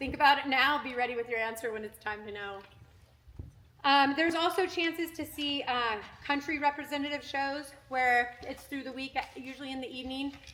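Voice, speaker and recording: Raising and projecting her voice, a woman talks at high pitch and a fairly quick pace in a bright, sharp tone, with ordinary pitch variation and big swings in loudness. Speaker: gymnastics coach. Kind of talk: parent meeting briefing. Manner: fast; animated.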